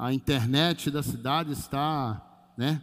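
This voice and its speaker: A man with a normal speaking voice talks at medium pitch with ordinary pitch variation in a very clean recording with a silent background. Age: 50s. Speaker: pastor. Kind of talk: sermon. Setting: church livestream.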